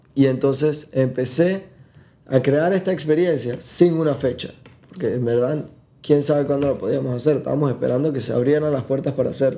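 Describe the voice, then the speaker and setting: A man's medium-pitched voice with a dark, mellow tone, fairly even intonation, and a moderate pace. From Panama. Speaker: tourism entrepreneur. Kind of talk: casual chat.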